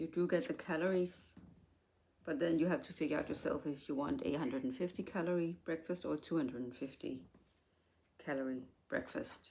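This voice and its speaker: A woman with a non-native accent, fairly low in pitch, dark and mellow in tone, with lively intonation, a fairly quick pace and long, frequent pauses. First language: not English. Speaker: haul video creator. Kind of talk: product review.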